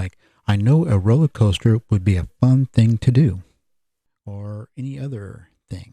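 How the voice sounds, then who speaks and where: Recorded dry and close with no echo, a man with an American accent speaks in a somewhat breathy voice at a fairly slow pace, with long, frequent pauses. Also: medium pitch for a man, ordinary pitch variation, big swings in loudness. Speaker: podcast host. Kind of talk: solo podcast monologue.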